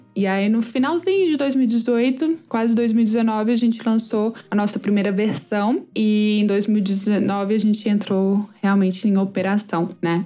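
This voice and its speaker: Here a woman speaks in a plain, everyday voice, pitched fairly high, at a fairly slow pace. Her loudness stays very even, her pitch varies in an ordinary way, and there are hardly any pauses. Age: 30s. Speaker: startup founder. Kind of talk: interview.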